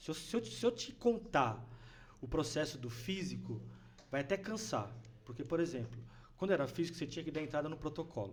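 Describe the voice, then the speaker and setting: A man talks at a fairly quick pace in a fairly high voice with vocal fry and very wide pitch swings. He leaves long, frequent pauses. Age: 50s. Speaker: city official. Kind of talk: podcast interview.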